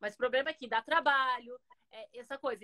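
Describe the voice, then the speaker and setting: A woman speaks at a high pitch in a bright, sharp tone with ordinary pitch variation. The sound is dry and close with no echo. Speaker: organization consultant. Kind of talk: live stream conversation. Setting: video call. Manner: fast.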